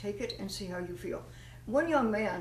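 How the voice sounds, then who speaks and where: There is noticeable background noise. Room echo is audible too. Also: woman. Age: 80s+. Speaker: nutrition advocate. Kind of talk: informal health talk.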